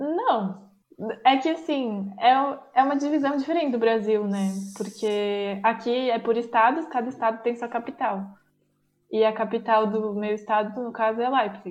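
A woman's fairly high-pitched, ordinary speaking voice, fairly slow, with ordinary pitch variation. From Bento Gonçalves, Rio Grande do Sul, Brazil. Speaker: university student abroad. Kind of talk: casual chat.

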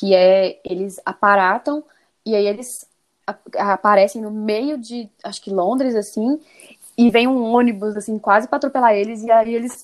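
A woman speaks at a moderate pace in a fairly high voice. Her loudness swings widely. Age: 30s. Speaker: guest fan. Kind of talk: casual chat. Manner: animated.

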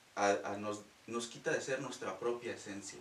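This is a man speaking over noticeable background noise. His voice carries audible room echo. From Mexico, Guanajuato. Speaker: reiki practitioner. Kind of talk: casual interview. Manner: halting.

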